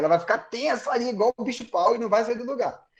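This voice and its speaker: Ordinary pitch variation colors a man's speech, which runs at a very fast pace. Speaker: physiotherapist. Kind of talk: live webinar talk.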